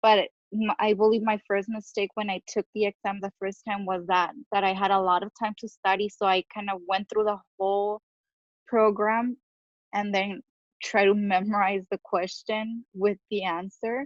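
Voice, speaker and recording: A woman with a Spanish accent speaks at a moderate pace and medium pitch, her intonation monotone and flat. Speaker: social worker studying for licensing exam. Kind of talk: casual chat. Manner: halting.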